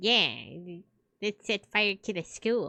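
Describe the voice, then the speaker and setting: This is a put-on character voice that sounds female, pitched at a medium level for a woman. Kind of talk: playful, silly. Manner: chaotic, gleeful.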